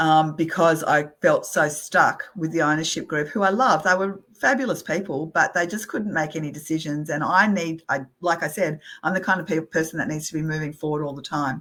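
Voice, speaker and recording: A woman with a very deep, low pitch speaks at a fairly quick pace with hardly any pauses and ordinary pitch variation. The recording is very clean, with a silent background. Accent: Australian. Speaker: real estate company CEO. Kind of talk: interview conversation.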